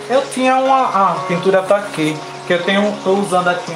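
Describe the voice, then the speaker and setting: Noticeable background noise runs under the recording. Over it, a man talks at a high pitch with ordinary variation. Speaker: fabric painting teacher. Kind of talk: live painting tutorial. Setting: live stream.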